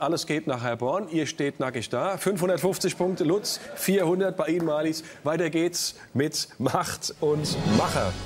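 A man speaks at a fairly slow pace with hardly any pauses and ordinary pitch variation, while clear music plays in the background. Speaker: quiz show host. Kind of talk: TV quiz show hosting. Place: studio. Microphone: lapel.

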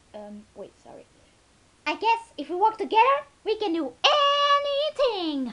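A woman's put-on character voice, extremely high, with very wide pitch swings and long, frequent pauses. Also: moderate pace.

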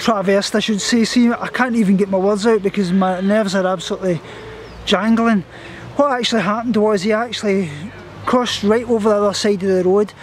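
Light background noise sits under a dry, echo-free recording of a man with a high pitch talking at a fairly quick pace. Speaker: vlogger. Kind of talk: casual vlog chat. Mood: shaken, nervous. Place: garden. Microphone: phone near.

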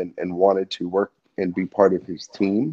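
At a moderate pace, a man talks with a New Jersey accent. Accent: New Jersey American. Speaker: music industry event professional, brother of a rock star; interview guest. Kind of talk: casual interview. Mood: calm, thoughtful. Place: home room. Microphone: video call.

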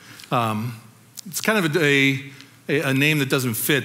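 With a Californian accent, a man talks at a moderate pace using lively intonation. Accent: Californian American. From Southern California, La Habra. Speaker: pastor. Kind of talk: testimony.

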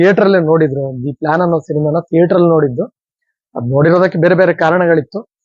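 Fairly even intonation from a man at a high pitch. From Dakshina Kannada, coastal Karnataka. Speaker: film and theatre actor. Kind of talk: interview.

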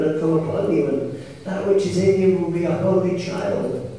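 Strong room echo and light background noise surround a man talking at a moderate pace with fairly even intonation. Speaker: preacher. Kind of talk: sermon. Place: church.

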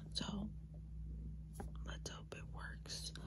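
A woman amid loud background noise. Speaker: ASMR creator. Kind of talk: ASMR whisper ramble, casual talk to camera. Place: home room. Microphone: phone near.

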